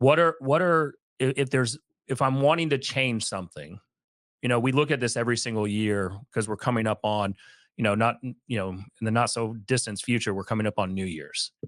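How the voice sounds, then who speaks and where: A plain, everyday voice at a fairly quick pace, dry and close with no echo, in a very clean recording with a silent background. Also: man, medium pitch for a man, lively intonation. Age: 40s. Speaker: podcast co-host. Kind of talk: podcast interview.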